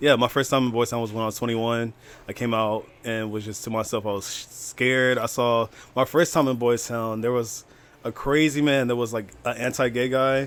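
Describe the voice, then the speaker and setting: At a fairly quick pace, a man with an American accent talks at a medium pitch with fairly even intonation. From Chicago suburbs, US. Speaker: podcast guest. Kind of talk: casual chat.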